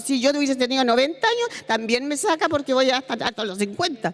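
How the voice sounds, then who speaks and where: Noticeable background noise behind a woman's high voice, its pitch swinging very widely. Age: 70s. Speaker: retired hospital technician. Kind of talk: testimony at a public seminar. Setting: seminar panel, televised. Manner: halting, with hesitations and restarts.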